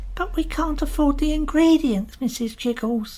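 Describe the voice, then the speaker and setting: A woman does a put-on character voice, high-pitched with lively intonation at a moderate pace, over light background noise. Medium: audio drama. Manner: polite, deferential.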